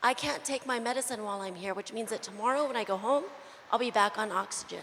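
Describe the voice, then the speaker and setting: A woman speaks at a very fast pace with a fairly high voice. Her pitch varies in an ordinary way. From New Mexico. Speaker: audience member asking a question. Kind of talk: audience Q&A.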